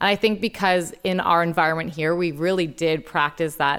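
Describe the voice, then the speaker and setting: On a very clean recording with a silent background, an ordinary speaking voice moves at a fairly quick pace with fairly even intonation. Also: woman. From Toronto, Canada. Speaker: sports story editor. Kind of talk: casual chat.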